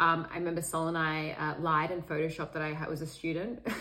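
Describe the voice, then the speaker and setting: A woman speaks with an Australian accent at a fairly low pitch and a fairly quick pace. Her tone is bright and sharp, with audible room echo. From Sydney, Australia. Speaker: meditation teacher. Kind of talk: podcast interview.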